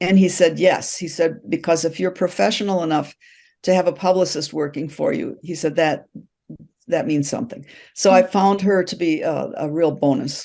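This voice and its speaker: In a quiet background, a woman speaks at a moderate pace with a fairly low pitch. Her tone is dark and mellow, with ordinary pitch variation. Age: 70s. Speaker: novelist, retired teacher. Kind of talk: interview answer.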